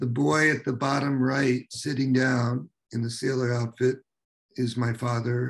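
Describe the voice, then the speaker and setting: At a very slow pace, a man delivers his words. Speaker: journalist and author. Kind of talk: book presentation with reading aloud. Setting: video call.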